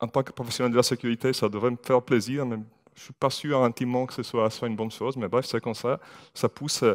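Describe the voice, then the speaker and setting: With an Italian accent, a man speaks at a medium pitch with fairly even intonation in a very clean recording with a silent background and a dry, close sound with no echo. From Italy. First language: Italian (speaking French). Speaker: IT security manager. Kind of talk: conference talk. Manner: hesitant, many fillers.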